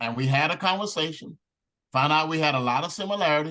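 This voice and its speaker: Loud, animated delivery at a fairly quick pace, with lively intonation and a bright, sharp tone. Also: man. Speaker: network marketing team leader. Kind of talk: training talk.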